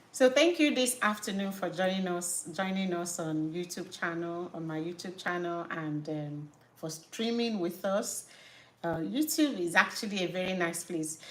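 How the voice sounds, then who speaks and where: With a strong Nigerian accent, a woman talks at a moderate pace in a fairly low pitch with ordinary pitch variation. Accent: Nigerian, thick. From Nigeria (Igbo). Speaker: natural hair care YouTuber and business owner. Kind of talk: live stream chat. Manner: halting, self-correcting.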